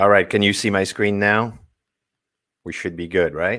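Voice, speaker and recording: A man with a French accent, dry and close with no echo, on a very clean recording with a silent background. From France, Paris. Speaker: marketing strategist. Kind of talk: presentation.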